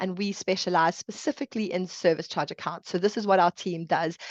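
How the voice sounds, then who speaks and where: A woman with a South African accent speaks at a moderate pace and medium pitch with ordinary variation, against a quiet background. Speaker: chartered accountant. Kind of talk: webinar presentation. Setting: online webinar.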